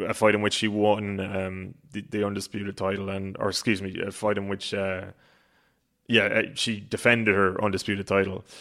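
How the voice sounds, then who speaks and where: A man in an Irish accent, fairly low-pitched with a bright, sharp tone, monotone and flat, at a moderate pace over a very clean, silent background. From Ireland. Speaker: boxing reporter. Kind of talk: casual chat. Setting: podcast recording.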